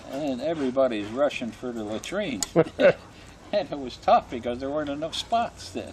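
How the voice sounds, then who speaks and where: With noticeable background noise behind him, a man speaks at a moderate pace and medium pitch, his intonation lively. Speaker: war veteran. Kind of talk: interview answer.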